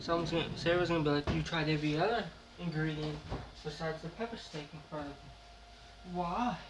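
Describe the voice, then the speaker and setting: Against noticeable background noise and audible room echo, a man talks at a fairly quick pace, his fairly high pitch showing ordinary variation. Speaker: YouTuber doing food taste tests. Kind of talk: casual vlog commentary. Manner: dramatic.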